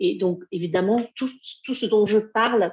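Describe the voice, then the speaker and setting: A woman speaks at a moderate pace with a dark, mellow tone. The sound is dry and close, with no echo. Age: 60s. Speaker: grief mentor and healer. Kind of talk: live video talk. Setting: live video stream. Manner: hesitant, many fillers.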